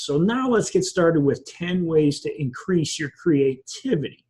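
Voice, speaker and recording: His voice somewhat breathy, the man speaks with lively intonation. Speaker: business coach. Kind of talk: online masterclass talk. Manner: halting, with ums and ahs; partly following a script.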